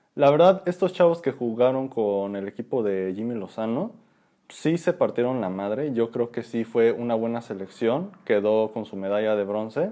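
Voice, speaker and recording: A man with a Mexican accent, dark, mellow tone, medium pitch, lively intonation and moderate pace, against a quiet background. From Mexico. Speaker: podcast co-host. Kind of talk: casual chat.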